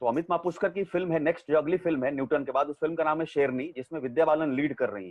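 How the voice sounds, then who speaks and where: Barely pausing, a man speaks with ordinary pitch variation and big swings in loudness. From Arrah, Bhojpur, Bihar. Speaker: actor. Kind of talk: interview answer.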